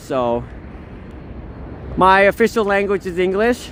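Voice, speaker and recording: Someone with a Canadian accent speaks at a fairly slow pace over noticeable background noise. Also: woman. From Canada, Niagara Falls (Korean-Canadian). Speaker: livestreamer. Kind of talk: casual live-stream chat and walking tour. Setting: outdoors in the snow.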